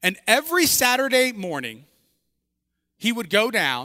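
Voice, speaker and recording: A man projects a raised voice in a bright, sharp tone at a fairly slow pace. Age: 40s. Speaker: pastor. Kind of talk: sermon. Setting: church.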